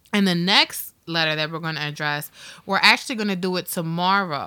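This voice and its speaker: A loud voice with a bright, sharp tone speaks at a moderate pace with ordinary pitch variation on a very clean recording with a silent background. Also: woman. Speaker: podcast co-host. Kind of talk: casual chat. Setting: studio.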